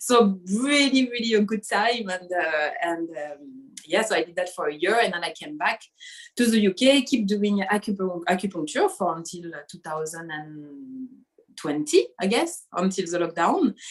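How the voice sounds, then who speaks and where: A woman's medium-pitched voice in a French accent, lively in intonation at a moderate pace, with big swings in loudness. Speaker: acupuncturist. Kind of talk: interview conversation.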